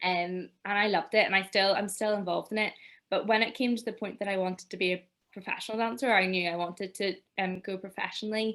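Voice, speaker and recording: A woman with a Northern Irish accent at a very fast pace. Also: medium pitch for a woman, fairly even intonation. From Northern Ireland, near Belfast. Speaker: dancer and choreographer. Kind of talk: interview.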